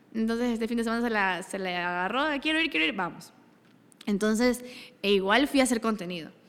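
An animated woman at a fairly quick pace, fairly high in pitch with ordinary variation, in a very clean recording with a silent background. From Ecuador, Daule (rural Guayas coast). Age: 20s. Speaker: entrepreneur. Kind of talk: interview.

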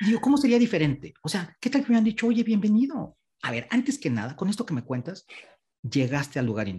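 A man speaks very fast in a dark, mellow tone. His pitch swings very widely. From Mexico. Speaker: customer experience consultant. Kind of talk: panel discussion. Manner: animated.

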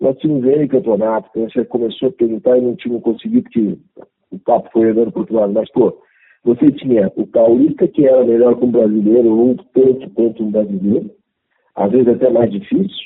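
Here is an unremarkable speaking voice from a man at medium pitch. He moves at a fairly quick pace with ordinary pitch variation. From Brazil, São Paulo. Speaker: former motocross racer. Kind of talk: casual chat.

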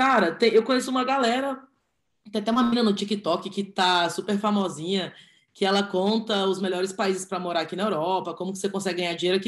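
At a very fast pace, a woman talks at medium pitch. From Brazil, Brasília. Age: 20s. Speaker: physiotherapist and handball coach. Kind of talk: casual chat.

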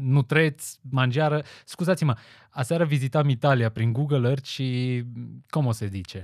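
A man speaks fairly slowly at a medium pitch with ordinary pitch variation, in a normal speaking voice. The recording is very clean, with a silent background. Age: 20s. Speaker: podcast host. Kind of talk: scripted monologue. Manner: formal.

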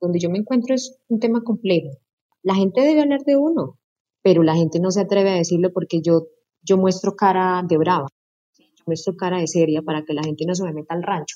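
At a fairly quick pace, a woman talks with lively intonation, a medium pitch and a dark, mellow tone. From Colombia, Casanare (Llanos). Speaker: LGBT content creator. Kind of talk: interview conversation.

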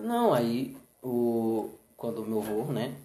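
A man's dark, mellow voice with very wide pitch swings, somewhat breathy, with audible room echo. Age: 30s. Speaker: comedian and comedy producer. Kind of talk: casual chat.

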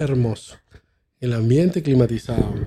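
A man speaks in a dark, mellow, somewhat breathy tone. His pace is moderate and his pitch varies in an ordinary way. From Venezuela, Maracay. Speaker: podcast host. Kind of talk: casual chat.

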